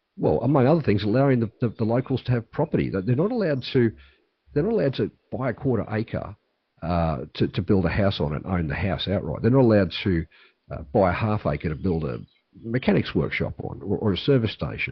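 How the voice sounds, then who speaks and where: Speaking very fast with an Australian accent, a man uses a fairly low voice with vocal fry and very wide pitch swings. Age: 60s. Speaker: political candidate. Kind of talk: interview. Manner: halting, with repetitions.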